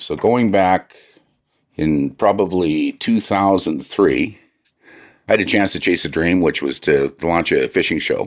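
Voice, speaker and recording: Vocal fry in a man's very deep, low voice, at a fairly slow pace. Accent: Canadian. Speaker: IT contractor and former fishing show host. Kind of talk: casual chat.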